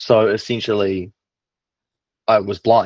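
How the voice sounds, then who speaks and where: Recorded dry and close with no echo against a quiet background, a man with a New Zealand accent speaks at a fairly low pitch. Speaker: online business operator, client. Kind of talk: client testimonial interview.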